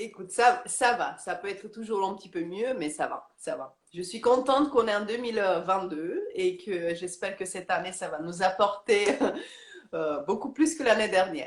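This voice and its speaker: A woman with a Romanian accent speaks at a moderate pace and medium pitch. Her intonation is lively, and her loudness swings widely. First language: Romanian (speaking French). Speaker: yoga teacher. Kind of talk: interview. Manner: halting, many hesitations.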